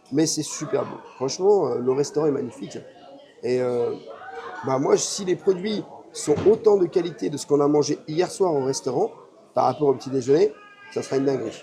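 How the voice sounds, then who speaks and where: Over noticeable background noise, a man with a fairly high voice speaks at a moderate pace with lively intonation and long, frequent pauses. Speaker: travel and theme park vlogger. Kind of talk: casual vlog chat. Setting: hotel restaurant.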